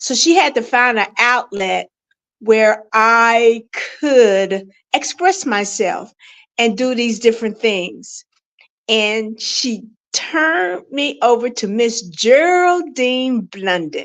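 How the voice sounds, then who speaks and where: Lively intonation marks a woman's fairly high voice. She speaks at a very slow pace. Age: 70s. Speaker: author and speaker. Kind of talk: interview. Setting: podcast interview.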